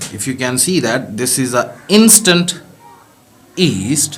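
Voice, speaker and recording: A man with a non-native accent speaks very slowly, his intonation lively. Noticeable background noise and audible room echo are present. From Pakistan. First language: not English. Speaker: home distiller, viewer. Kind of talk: video message.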